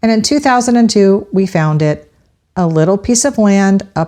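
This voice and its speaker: Speaking with a Floridian accent, a woman uses a medium pitch and lively intonation. Her tone is warm as well as dark and mellow. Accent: Florida accent, noticeable. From Central Florida. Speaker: podcast host, local history. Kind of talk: scripted narration. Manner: warm, conversational.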